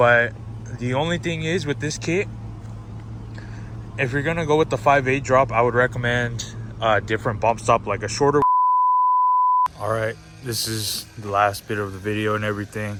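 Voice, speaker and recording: Long, frequent pauses break up a man's speech at a moderate pace. His pitch is medium with ordinary variation, over noticeable background noise. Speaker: car enthusiast vlogger. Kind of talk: casual vlog walkaround.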